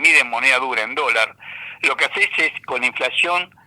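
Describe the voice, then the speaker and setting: A man is speaking. Background noise is noticeable. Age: 70s. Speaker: economist and university lecturer. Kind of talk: radio interview. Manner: animated.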